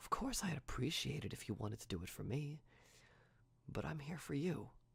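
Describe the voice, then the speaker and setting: A man speaks at a moderate pace in a gentle tone with lively intonation. His voice has vocal fry. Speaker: ASMR artist. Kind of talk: ASMR roleplay, friend caring for a sick person. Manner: soft, gentle, caring.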